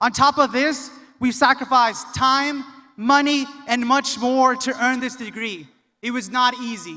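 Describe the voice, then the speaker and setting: A man's raised, projected voice at an extremely high pitch, bright and sharp in tone, with fairly even intonation and a fairly slow pace. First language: Spanish. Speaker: graduate student speaker. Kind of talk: commencement speech. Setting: arena with audience.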